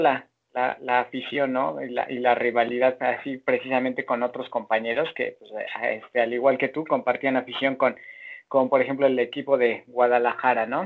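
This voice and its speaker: A man at medium pitch and a moderate pace, in a normal speaking voice. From Mexico. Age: 40s. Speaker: football fan. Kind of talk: casual chat.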